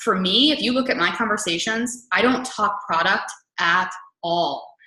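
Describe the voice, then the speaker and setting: A woman speaks with ordinary pitch variation. Room echo can be heard around her voice. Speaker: fitness coach and webinar host. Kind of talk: webinar training talk. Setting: online webinar. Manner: fast.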